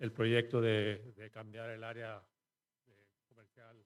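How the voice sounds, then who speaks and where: A man at a medium pitch and a fairly slow pace. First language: Spanish. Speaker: local business owner. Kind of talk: public comment. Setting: city council meeting.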